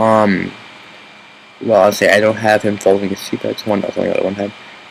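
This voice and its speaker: Noticeable background noise behind a man's fairly quick delivery. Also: long, frequent pauses. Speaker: online poker player commentating his own play. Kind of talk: live gameplay commentary. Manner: fast.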